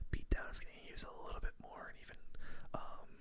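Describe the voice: The speaker whispers. The pace is fairly quick.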